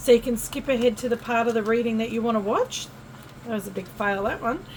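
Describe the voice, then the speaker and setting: A woman talks with an Australian accent at a fairly quick pace. Background noise is noticeable. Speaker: tarot reader. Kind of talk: tarot reading monologue. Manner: casual, chatty.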